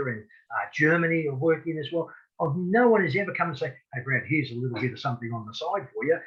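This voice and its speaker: A man talks with lively intonation in an Australian accent. His pitch is fairly high. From Australia, rural Victoria. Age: 60s. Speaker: boxing referee. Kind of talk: interview. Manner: halting, frequent repetitions.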